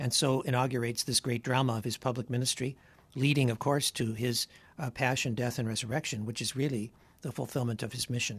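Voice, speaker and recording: Very fast and somewhat breathy, a man talks with fairly even intonation. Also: medium pitch for a man. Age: old. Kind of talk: casual chat.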